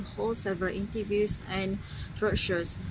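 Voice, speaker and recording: A woman with a Malaysian accent talks at a fairly quick pace in a medium pitch, amid noticeable background noise and audible room echo. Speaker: university student intern. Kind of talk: vlog narration.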